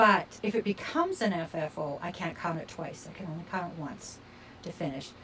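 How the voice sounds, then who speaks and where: Ordinary pitch variation marks this woman's speech, with noticeable background noise behind her. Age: 60s. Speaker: crafting video creator. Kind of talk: casual vlog monologue. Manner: chatty with fillers. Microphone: sound problems in video.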